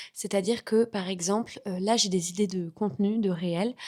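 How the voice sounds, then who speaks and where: A medium-pitched woman's voice at a moderate pace, with fairly even intonation, on a very clean recording with a silent background. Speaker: vlogger and content creator. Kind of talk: casual vlog chat.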